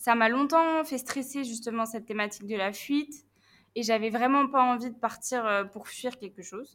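A woman with an unremarkable speaking voice talks at a moderate pace in a fairly high pitch, with ordinary pitch variation and big swings in loudness. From northern France, Picardy. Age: 20s. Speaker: traveller and volunteer. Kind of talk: casual interview.

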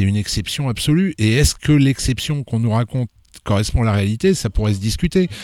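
A man with a plain, everyday voice speaks at medium pitch with lively intonation, recorded very cleanly against a silent background. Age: 50s. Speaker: novelist. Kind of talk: casual chat.

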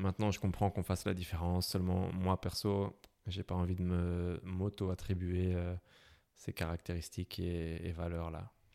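A man speaks fairly slowly in a very deep, low, dark and mellow voice with monotone, flat intonation, in a very clean, dry and close recording with a silent background and no echo. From Belgium, Brussels. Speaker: motorcycle traveller. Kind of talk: interview. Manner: hesitant, many fillers.

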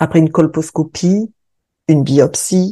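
A woman speaks very slowly at a fairly low pitch, with ordinary pitch variation. Her tone is dark and mellow. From southern France (Occitanie, near Hérault). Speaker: sophrologist and podcast host. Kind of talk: scripted personal testimony.

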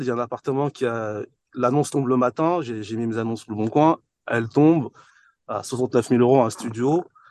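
A man at a medium pitch with a normal speaking voice, moderate pace, quiet background. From France, Paris-area housing estate. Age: 40s. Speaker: entrepreneur and property investor. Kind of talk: podcast interview.

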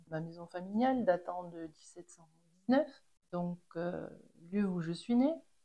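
Her voice sits fairly low and has a dark, mellow tone, moving at a very slow pace with ordinary pitch variation and big swings in loudness. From French Pyrenees, Les Angles. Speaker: chalet owner, ski shop family. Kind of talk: interview storytelling. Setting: at her home. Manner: halting, repeats words.

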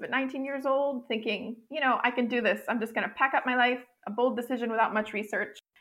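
Using an ordinary speaking voice, a woman with an American accent talks at a fairly quick pace and a fairly high pitch. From US Northeast (upstate New York). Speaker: expat living in Quebec. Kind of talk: casual interview chat.

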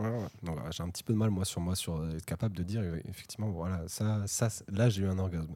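In a very clean recording with a silent background, a man with a very deep, low pitch and a dark, mellow tone talks at a fairly quick pace. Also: ordinary pitch variation. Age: 20s. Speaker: podcast guest. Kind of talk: casual chat. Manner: halting.

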